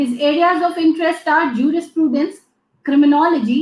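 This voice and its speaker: Audible room echo surrounds a woman speaking at an extremely high pitch. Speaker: event moderator. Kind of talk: formal announcements. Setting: video call. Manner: formal. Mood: polite, formal, appreciative. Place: office. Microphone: webcam.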